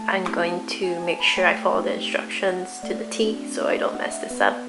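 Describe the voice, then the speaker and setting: Music runs behind the voice. The woman talks at a moderate speed. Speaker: vlogger. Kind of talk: calm vlog voice-over narration.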